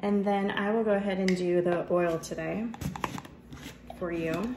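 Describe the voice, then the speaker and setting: Speech comes at a fairly slow pace with fairly even intonation. There is noticeable background noise and audible room echo. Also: woman, medium pitch for a woman. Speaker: family vlogger. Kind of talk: home cooking tutorial. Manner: casual, conversational.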